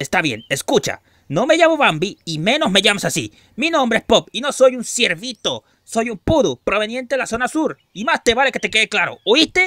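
A man performs a cartoonish character voice at an extremely high pitch. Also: moderate pace. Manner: sarcastic, then panicky.

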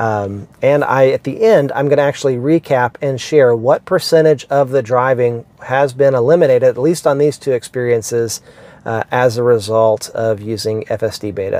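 A man speaks at a moderate pace with hardly any pauses, a dark, mellow tone and ordinary pitch variation. The sound is dry, with no echo. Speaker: car vlogger. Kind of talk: casual vlog explanation. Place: car. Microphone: lapel.

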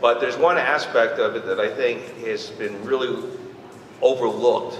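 Someone talks at a moderate pace with noticeable background noise in the recording. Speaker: audience member. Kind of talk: audience question. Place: hall.

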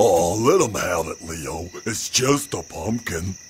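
A raspy, cartoonish character voice moves at a fairly slow pace with lively intonation and big swings in loudness. Background noise is clearly heard. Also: man, very deep, low pitch for a man. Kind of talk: cartoon voice acting. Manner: slow, simple, dopey.

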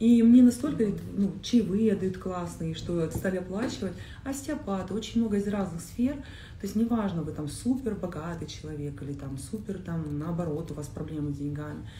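In a space with audible room echo and light background noise, a woman talks at a moderate pace with lively intonation and big swings in loudness. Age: 30s. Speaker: coach. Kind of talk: casual chat. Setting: live stream. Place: home room.

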